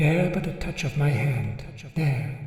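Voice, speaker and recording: A soft-spoken, put-on character voice sits at a low-to-middle pitch. The pace is fairly slow, with clear echo around it. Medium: read story. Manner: mild, quiet, solemn.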